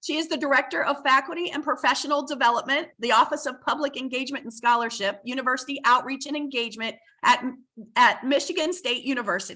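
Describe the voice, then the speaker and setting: A woman speaks very fast in a raised, projected voice with a high pitch. Her tone is bright and sharp, and her pitch varies in an ordinary way. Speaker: university administrator and moderator. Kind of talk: webinar moderation. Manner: hesitant, many fillers.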